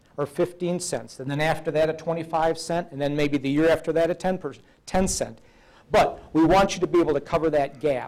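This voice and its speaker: A man with a plain, everyday voice, fairly high-pitched for a man, at a moderate pace and with fairly even intonation. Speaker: state agency presenter. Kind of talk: seminar presentation with Q&A.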